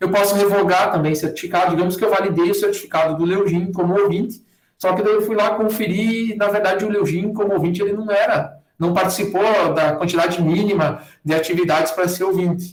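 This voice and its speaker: Very even in loudness, a man speaks at a fairly quick pace in a high pitch. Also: fairly even intonation. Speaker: university lecturer teaching a workshop. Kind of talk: online tutorial. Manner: fast.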